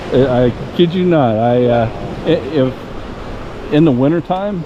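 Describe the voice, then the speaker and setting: Very slowly, a man talks at a fairly high pitch with ordinary pitch variation and very even loudness. Noticeable background noise and audible room echo fill the recording. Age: 60s. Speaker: metal detecting youtuber. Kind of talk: casual chat. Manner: halting.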